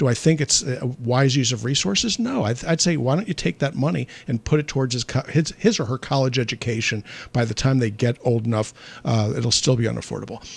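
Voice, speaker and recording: A man with a medium pitch and a somewhat breathy voice speaks at a fairly quick pace with lively intonation. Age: 60s. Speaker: physician. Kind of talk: call-in health show. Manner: conversational.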